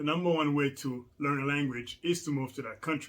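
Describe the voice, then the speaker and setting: Here a man speaks with a Rwandan accent at a fairly high pitch. His tone is bright and sharp, and his pitch varies in an ordinary way. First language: Kinyarwanda. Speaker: language learning vlogger. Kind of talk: casual vlog tutorial. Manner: casual with many fillers.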